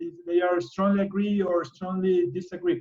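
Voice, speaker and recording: He is a man with a Spanish accent. His pitch is high. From Ecuador. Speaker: biologist and conservationist. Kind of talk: presentation. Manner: halting.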